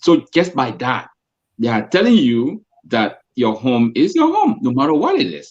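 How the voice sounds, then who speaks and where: A man with a strong Liberian accent at a fairly slow pace. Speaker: co-host. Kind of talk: casual chat.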